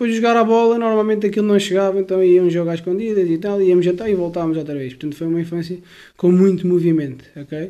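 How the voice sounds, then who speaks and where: A man at a very fast pace with hardly any pauses, high pitch, ordinary pitch variation and a dark, mellow tone. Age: 20s. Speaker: personal trainer. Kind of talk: interview. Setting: at home. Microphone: close, clear mic.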